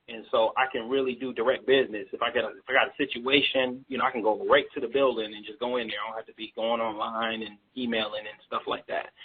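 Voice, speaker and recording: A man at a medium pitch and a very fast pace, with hardly any pauses, big swings in loudness and a monotone, flat intonation. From Baltimore, Maryland, US. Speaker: rapper and label owner. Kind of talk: radio interview. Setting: live radio broadcast.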